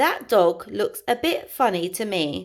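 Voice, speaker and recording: Fairly slow delivery in a put-on character voice. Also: woman. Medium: read story.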